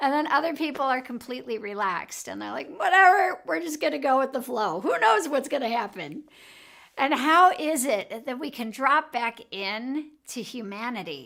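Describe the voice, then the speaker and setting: Animated and bright, sharp in tone, a woman speaks at a high pitch with very wide pitch swings. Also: moderate pace. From Chicago, US Midwest. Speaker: emotional health coach and show host. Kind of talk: live show talk. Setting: studio.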